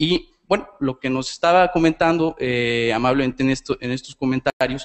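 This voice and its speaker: A man with a Mexican accent talks at a fairly slow pace with ordinary pitch variation. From Mexico. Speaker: audience member. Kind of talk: audience question. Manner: halting, many repetitions.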